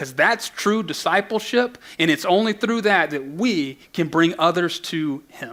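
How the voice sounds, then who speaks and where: A raised, projected voice with a bright, sharp tone, lively intonation and a moderate pace. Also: man. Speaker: pastor. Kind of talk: sermon. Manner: halting.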